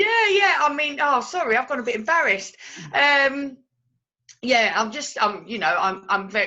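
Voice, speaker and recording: A woman's raised, projected, high-pitched voice in a Cockney accent, with very wide pitch swings at a moderate pace. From London, England (Cockney). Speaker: Reiki teacher and coach. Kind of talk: interview testimony. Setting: video interview. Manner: halting.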